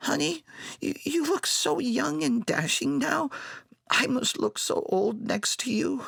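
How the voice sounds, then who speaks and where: Using a put-on character voice at an extremely high pitch, a man speaks at a fairly slow pace with very even loudness. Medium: read story.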